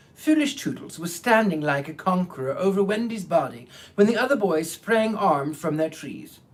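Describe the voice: The speech is plain reading aloud.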